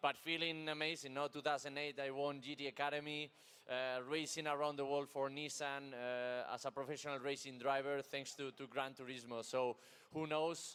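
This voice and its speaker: Monotone and flat, a man with a Spanish accent talks at a moderate pace and a fairly high pitch. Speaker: racing driver. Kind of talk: interview.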